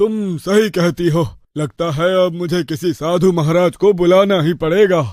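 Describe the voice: In a cartoonish character voice pitched high, a man speaks at a fairly slow pace with hardly any pauses and ordinary pitch variation.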